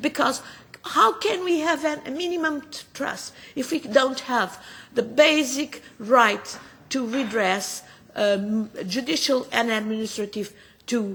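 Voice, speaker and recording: The intonation is lively, with a Portuguese accent. The pace is fairly slow. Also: woman. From Portugal. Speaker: politician. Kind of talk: parliamentary committee speech. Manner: halting with frequent fillers.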